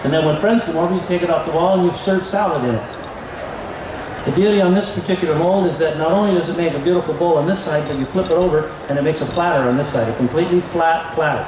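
A man speaks fast at a fairly high pitch with ordinary pitch variation, and background noise is clearly audible.

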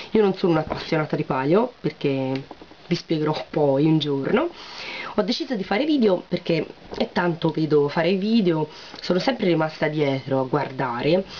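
A woman's very deep, low voice with lively intonation over light background noise. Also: moderate pace. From Tuscany, Siena; Tuscany. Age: 20s. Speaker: beauty vlogger and beautician; beauty vlogger. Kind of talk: casual vlog chat. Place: home room. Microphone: webcam.

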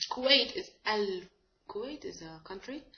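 Her pitch swinging very widely, a woman speaks with an Arabic accent. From Egypt. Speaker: language teacher. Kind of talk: tutorial. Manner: halting, many fillers. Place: home room. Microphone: webcam.

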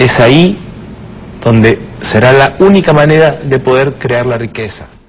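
Very slow speech in a Lima accent, with noticeable background noise. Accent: Lima Peruvian Spanish. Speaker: restaurant entrepreneur.

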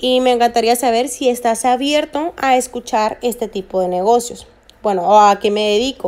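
Speaking at a moderate pace, the woman has a high pitch and ordinary pitch variation. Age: 20s. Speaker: network marketing recruiter and investor. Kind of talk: screen-recorded tutorial.

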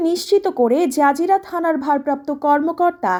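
High in pitch, a woman speaks with a dark, mellow tone. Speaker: news reporter. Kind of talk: news reading. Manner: formal.

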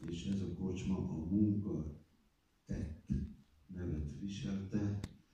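Speaking very slowly, a man with a very deep, low voice and a dark, mellow tone sounds somewhat breathy, his intonation fairly even amid strong room echo. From Hungary. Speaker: film director. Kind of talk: interview answer. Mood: reflective, warm, wry. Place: stage.

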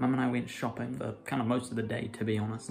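A man speaks at a very fast pace. Background noise is noticeable. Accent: New Zealand. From New Zealand. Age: young. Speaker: film and theatre student. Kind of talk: casual vlog talk to camera. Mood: relaxed, a bit tired from heat. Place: home room. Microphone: phone near.

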